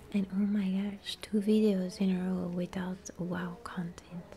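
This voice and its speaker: A soft-spoken woman at a very slow pace, medium pitch, monotone and flat, with noticeable background noise. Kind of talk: ASMR gaming ramble.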